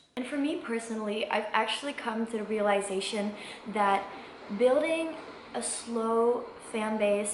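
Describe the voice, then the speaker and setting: Over noticeable background noise and audible room echo, a woman talks at a fairly high pitch. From Belgium. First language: not English. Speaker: singer-songwriter, vlogger. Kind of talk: casual vlog monologue. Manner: hesitant, many fillers.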